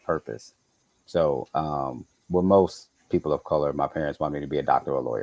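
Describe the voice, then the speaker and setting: In a slight Southern US accent, a man speaks at a fairly quick pace in a very deep, low voice with a relaxed tone and fairly even intonation, the sound dry and close with no echo. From Chicago, US. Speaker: architect. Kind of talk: interview. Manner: casual, relaxed.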